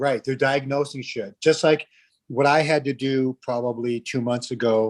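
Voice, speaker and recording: A man's medium-pitched voice with an American accent, monotone, flat intonation and a fairly slow pace, in a dry, close sound with no echo. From New Jersey. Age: 70s. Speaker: live stream host. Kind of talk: casual chat.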